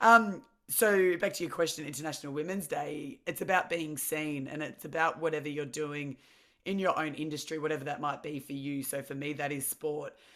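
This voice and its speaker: In an Australian accent, a woman talks with a very deep, low pitch and ordinary pitch variation, on a very clean recording with a silent background. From Victoria, Australia (Mornington Peninsula). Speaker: former professional athlete. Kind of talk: interview. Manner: loud.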